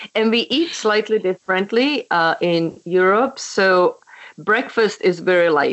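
A woman speaks with a Czech accent against a quiet background. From Czechoslovakia. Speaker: memoir author. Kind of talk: casual interview chat. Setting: phone call.

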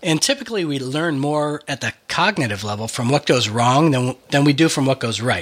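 A man talks at a moderate pace with hardly any pauses, his pitch fairly high. His pitch varies in an ordinary way, and there is noticeable background noise. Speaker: podcast host. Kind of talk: casual chat.

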